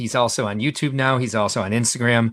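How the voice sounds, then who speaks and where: At a fairly quick pace, a man of medium pitch speaks with a bright, sharp tone on a very clean recording with a silent background. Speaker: podcast host. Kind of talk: casual chat. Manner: rambling, hesitant.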